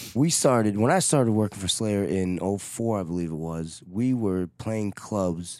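Pitched fairly low with ordinary variation, a man with a New York accent talks at a moderate pace with hardly any pauses. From New York City (Manhattan and Queens). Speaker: touring guitar technician for a metal band. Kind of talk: casual chat.

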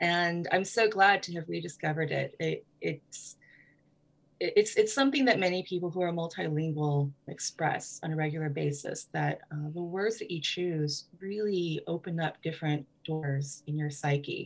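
This voice belongs to a woman and sounds somewhat breathy. It sits fairly low in pitch. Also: ordinary pitch variation, moderate pace. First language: Hmong. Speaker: writer and literary festival director. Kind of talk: interview.

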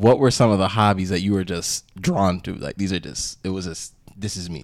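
Moderate pace and ordinary pitch variation from a man with a fairly low pitch. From Toronto, Canada. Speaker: podcast host. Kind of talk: casual chat.

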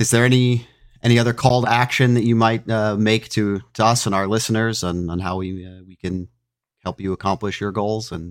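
Fairly quick and fairly low, a man's voice moves with fairly even intonation. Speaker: podcast host. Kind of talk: interview. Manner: halting, many filler words.

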